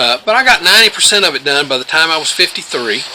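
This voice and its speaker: There is noticeable background noise as a man talks at a moderate pace. He speaks with an Appalachian accent. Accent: Appalachian US Southern. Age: 60s. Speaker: homesteader. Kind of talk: casual advice talk to camera.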